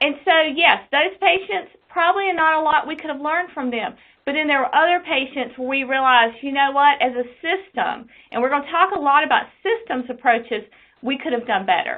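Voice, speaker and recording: A woman's high-pitched, fairly quick speech with lively intonation in an Eastern North Carolina accent. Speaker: quality nurse specialist. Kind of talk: webinar presentation.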